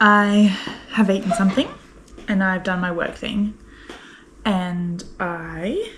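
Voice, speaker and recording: Amid noticeable background noise, a woman with an Australian accent speaks at a medium pitch and a very slow pace, with fairly even intonation and long, frequent pauses. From Brisbane, Australia. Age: 20s. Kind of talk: casual vlog talk to camera. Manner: chatty, rambling.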